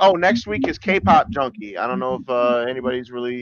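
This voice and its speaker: A man talks in a normal speaking voice at medium pitch. His pace is fairly quick, and his pitch varies an ordinary amount. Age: 40s. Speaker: podcast host. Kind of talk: casual chat. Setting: video call.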